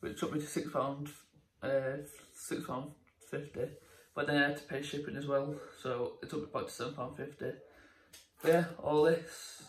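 At a moderate pace, a somewhat breathy voice speaks with monotone, flat intonation and long, frequent pauses, with audible room echo around it. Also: man. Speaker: vlogger. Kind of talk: casual vlog chat. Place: kitchen. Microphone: phone near.

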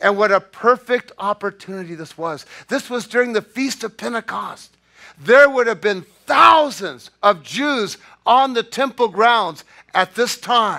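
The voice is raised and projected, with a bright, sharp tone and ordinary pitch variation. It moves at a fairly slow pace against a quiet background. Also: man. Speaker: pastor. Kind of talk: sermon. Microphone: podium.

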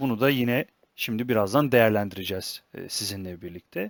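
In a normal speaking voice, a man talks at a moderate pace with lively intonation, on a very clean recording with a silent background and a dry, close sound with no echo. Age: 20s. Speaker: football analysis YouTuber. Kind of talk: solo football analysis commentary.

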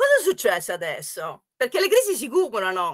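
A woman's bright, sharp tone with very wide pitch swings over a quiet background. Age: 60s. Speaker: economics professor. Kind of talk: online workshop talk. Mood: warm, often smiling. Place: home room. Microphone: webcam.

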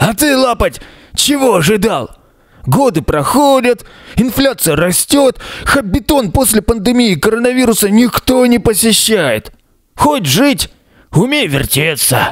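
Putting on a character voice, a man speaks at an extremely high pitch, raspy and hoarse, at a moderate pace with long, frequent pauses. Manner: world-weary, sarcastic.

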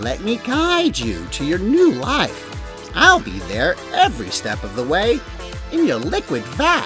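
A cartoonish character voice moves at a fairly slow pace. Clear music plays in the background. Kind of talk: TV infomercial pitch. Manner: upbeat, salesy.

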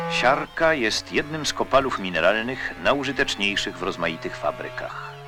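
A man talks at a middling speed while music plays behind him. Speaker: documentary narrator. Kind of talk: documentary narration.

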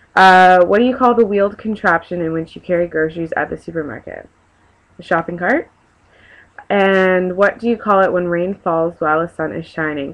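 A woman with a Canadian accent, moderate pace. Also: ordinary pitch variation. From Canada (Victoria, British Columbia). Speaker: vlogger. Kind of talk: casual talk to camera. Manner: hesitant, chatty. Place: home room. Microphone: webcam.

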